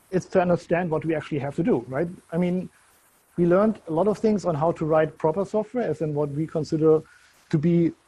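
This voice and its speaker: A man with a German accent speaks at a fairly quick pace in a high pitch, with a dark, mellow tone and fairly even intonation. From Germany. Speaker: software consultant. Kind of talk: conference talk.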